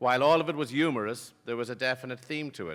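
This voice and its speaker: In an American accent, a man at medium pitch speaks at a fairly quick pace with a bright, sharp tone and ordinary pitch variation, on a very clean recording with a silent background. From Ireland, Sligo. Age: 50s. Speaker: business executive. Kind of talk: after-dinner speech. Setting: gala dinner with audience.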